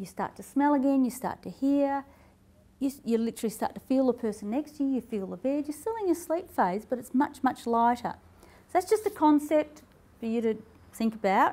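A woman speaks at a fairly quick pace with high pitch, lively intonation and a dark, mellow tone. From Australia. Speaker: health and wellness speaker. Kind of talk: talk to live audience. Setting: stage with audience. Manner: animated. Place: hall.

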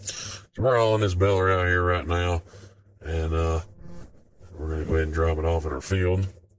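A man's very deep, low, somewhat breathy voice at a moderate pace, fairly even in intonation, with long, frequent pauses. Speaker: gaming video creator. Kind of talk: casual gameplay commentary.

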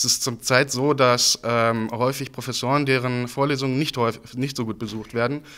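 At a fairly quick pace, a man talks in a medium pitch with a bright, sharp tone and monotone, flat intonation. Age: 20s. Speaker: student politician. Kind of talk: campaign interview statement. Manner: frequent filler hesitations (äh). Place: hall. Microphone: handheld.

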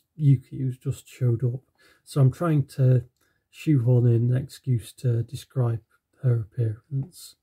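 The background stays quiet. An unforced reading voice keeps its intonation fairly even.

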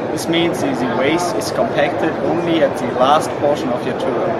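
A man at a moderate pace against loud background noise. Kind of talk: interview answer. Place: hall.

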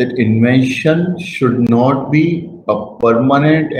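A man speaks with a somewhat breathy voice and ordinary pitch variation. The room echo is audible, with light background noise. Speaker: guest lecturer. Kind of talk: lecture. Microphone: webcam.

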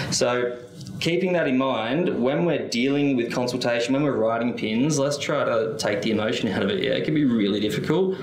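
With an Australian accent, the speaker uses lively intonation amid audible room echo. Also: man. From Western Australia. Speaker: workplace safety inspector; presenter. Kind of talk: conference presentation. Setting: conference with live audience. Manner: casual and conversational. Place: hall. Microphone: podium.

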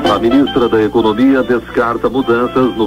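The speech moves at a moderate pace. Music is clearly audible in the background. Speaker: radio news announcer. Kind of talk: radio news bulletin read. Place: studio.

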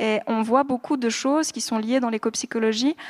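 A woman's fairly high voice at a moderate pace, with ordinary pitch variation, against a quiet background. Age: 30s. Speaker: doctoral researcher; guest. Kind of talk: panel discussion. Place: hall. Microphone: handheld.

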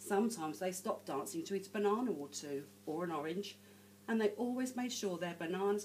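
With lively intonation, an unforced reading voice comes through.

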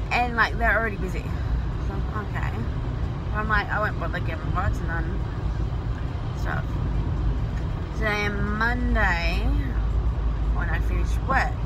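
A woman talks at a moderate pace with long, frequent pauses. Loud background noise runs underneath. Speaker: vlogger. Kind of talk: casual vlog chat. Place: car. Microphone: phone near.

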